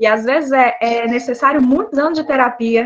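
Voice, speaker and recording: A woman's high-pitched voice with ordinary pitch variation and a slight Mato Grosso do Sul accent. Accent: slightly drawling Mato Grosso do Sul. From Brazil, Mato Grosso do Sul. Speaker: psychologist. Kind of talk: online talk.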